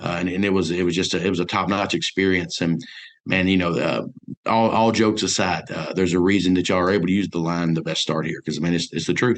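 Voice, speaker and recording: This man talks very fast with a Mississippi accent and a very deep, low pitch. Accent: Southern US (Mississippi). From US South (north Mississippi). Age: 40s. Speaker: businessman, college alumnus. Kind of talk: radio interview. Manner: animated; halting.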